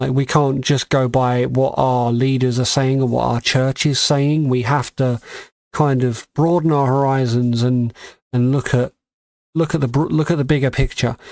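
A man's medium-pitched voice in an English accent at a moderate pace, with fairly even intonation and very even loudness. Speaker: podcast co-host. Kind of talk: casual chat.

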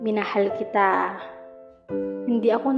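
Music in the background accompanies a woman speaking at a fairly slow pace with a fairly high pitch. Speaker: spoken word poet. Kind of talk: spoken word poetry. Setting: over soft piano music. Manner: emotional, reflective.

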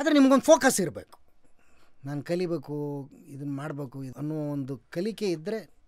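A man's fairly high voice with lively intonation and big swings in loudness, over a quiet background. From North Karnataka, India. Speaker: actor; podcast guest, actor. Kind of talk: interview. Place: studio. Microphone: studio mic.

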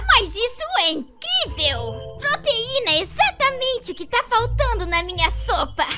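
A female-sounding cartoonish character voice at an extremely high pitch runs at a moderate pace with hardly any pauses over loud music in the background. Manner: honeyed, deceptive.

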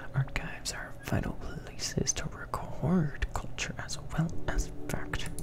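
Whispering, a man speaks at a very slow pace. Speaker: ASMR gaming streamer. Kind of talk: reading game dialogue aloud. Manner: whispered. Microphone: studio mic.

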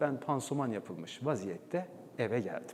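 A man talks at a medium pitch, with vocal fry in his voice. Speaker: former radio and TV announcer, presenter and documentary voice-over artist. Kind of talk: talk on stage telling a personal story to an audience.

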